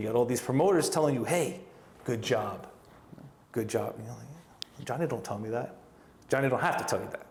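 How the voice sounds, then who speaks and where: Audible room echo carries a man's medium-pitched voice. He moves at a fairly quick pace with lively intonation and long, frequent pauses. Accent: strong Brooklyn. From New York, Brooklyn. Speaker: professional wrestler and wrestling coach. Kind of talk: casual interview. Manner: animated, acts out quoted dialogue.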